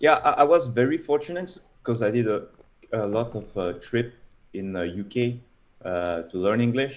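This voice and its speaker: A man with a French accent, lively intonation and long, frequent pauses. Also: medium pitch for a man, moderate pace. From France. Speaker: data scientist. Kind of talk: casual interview.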